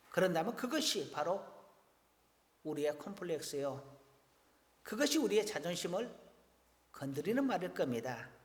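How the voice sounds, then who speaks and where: A man's high-pitched voice with very wide pitch swings, moderate pace and long, frequent pauses, amid noticeable background noise and audible room echo. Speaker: pastor. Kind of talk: sermon.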